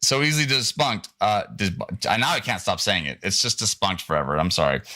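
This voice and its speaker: A man with vocal fry and a bright, sharp tone makes very wide pitch swings. The recording is very clean, with a silent background. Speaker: show host and producer. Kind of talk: production meeting, rehearsing a script. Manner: halting, many restarts.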